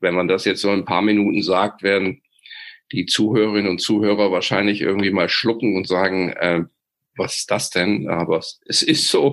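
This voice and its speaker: With an unremarkable speaking voice, a man talks at a moderate pace, his fairly low pitch held in fairly even intonation. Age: 50s. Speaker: leadership expert. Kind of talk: interview. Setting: video call.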